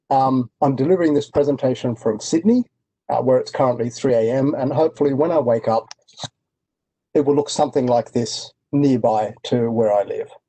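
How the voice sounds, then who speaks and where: This man has an Australian accent and a medium pitch. His dark, mellow tone moves at a moderate pace with ordinary pitch variation. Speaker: industry analyst. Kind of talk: presentation. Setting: online webinar.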